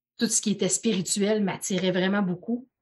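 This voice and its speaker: At a fairly slow pace, a woman speaks in a somewhat breathy voice with fairly even intonation. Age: 40s. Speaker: personal development coach. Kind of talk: casual chat.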